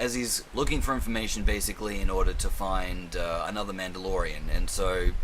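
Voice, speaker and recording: Noticeable background noise and audible room echo around a man at a moderate pace. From Australia. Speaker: film and TV reviewer. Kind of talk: casual monologue review. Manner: casual, rambling, swears a lot.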